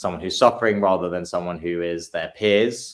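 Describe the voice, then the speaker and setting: A man's very deep, low voice with ordinary pitch variation, on a very clean recording with a silent background. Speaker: university student with axial spondyloarthritis. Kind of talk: casual chat. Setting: live stream. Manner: loud.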